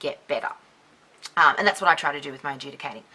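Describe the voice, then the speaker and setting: Soft-spoken and with an Australian accent, a woman talks at a very deep, low pitch. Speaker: dance judge and YouTuber. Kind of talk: casual chat to camera. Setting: dim room with one light, another person present.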